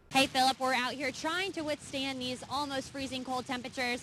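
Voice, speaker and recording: A high-pitched woman with an American accent, fairly even intonation and a fairly quick pace. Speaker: television reporter and anchor. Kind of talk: live reporter stand-up and explainer segments.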